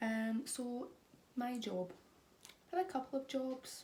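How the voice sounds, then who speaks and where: A woman with a Scottish accent speaks in a dark, mellow tone that is somewhat breathy. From Scotland. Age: 20s. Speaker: vlogger. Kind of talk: casual chat.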